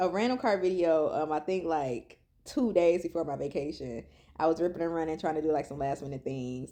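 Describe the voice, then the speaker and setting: Speaking at a moderate pace over a quiet background, a woman with a fairly low-pitched voice uses an animated tone and lively intonation. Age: 30s. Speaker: vlogger. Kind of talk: personal vlog. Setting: in a car.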